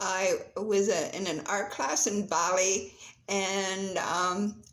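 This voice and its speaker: A woman's voice carries audible room echo. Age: 70s. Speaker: portrait painter and poet. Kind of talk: casual video talk showing artwork. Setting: at home, in living room. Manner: halting, with many fillers.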